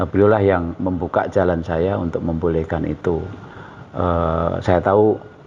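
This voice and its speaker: Over noticeable background noise, a man with a very deep, low pitch speaks in a flat monotone at a fairly slow pace. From East Java, Indonesia (Bojonegoro). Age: 60s. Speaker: painter and journalist. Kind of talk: interview. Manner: hesitant, many fillers.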